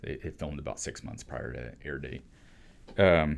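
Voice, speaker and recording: Vocal fry runs through this man's speech. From Arizona, US. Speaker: food startup founder. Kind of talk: casual interview.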